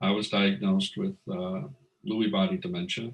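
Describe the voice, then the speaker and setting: Pitched fairly low, a man talks at a fairly quick pace with very wide pitch swings. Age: 60s. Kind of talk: testimony. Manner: halting, many fillers.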